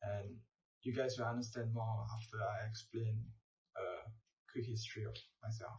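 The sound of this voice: Audible room echo surrounds a man's fairly low voice, which has a slightly mellow tone and fairly even intonation at a moderate pace.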